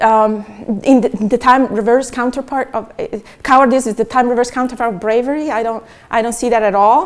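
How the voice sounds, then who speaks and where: Fairly even intonation accompanies fairly quick delivery. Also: woman, high pitch for a woman. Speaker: philosophy of science professor. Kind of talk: academic conference talk. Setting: Buenos Aires, Argentina. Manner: fast; halting, many fillers.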